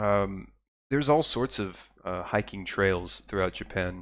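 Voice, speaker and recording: A man with an American accent speaks at a fairly slow pace in a fairly low voice with ordinary pitch variation. The recording is very clean, with a silent background. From Texas. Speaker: podcaster living abroad. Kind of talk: casual live-stream monologue. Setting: live stream with viewer chat. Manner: hesitant, many fillers and repeated words.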